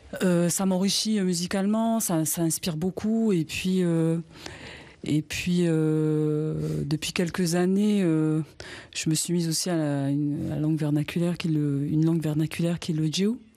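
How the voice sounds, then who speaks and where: A woman talks at a fairly slow pace in a fairly low voice with a dark, mellow tone. Her loudness stays very even, and her intonation fairly even. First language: Wallisian (speaking French). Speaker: singer. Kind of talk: interview. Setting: inside a traditional hut at a cultural centre. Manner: halting, many hesitations.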